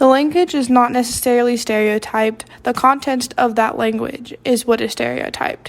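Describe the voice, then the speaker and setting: In an American accent, a woman speaks in a high voice with fairly even intonation. Her pace is moderate, with hardly any pauses. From US South. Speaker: college student. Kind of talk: reading aloud.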